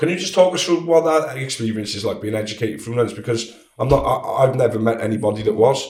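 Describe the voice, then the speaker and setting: A man with a South Wales accent talks at a very fast pace, his medium pitch carried by lively intonation. Audible room echo surrounds his voice. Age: 30s. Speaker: podcast host. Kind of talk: interview.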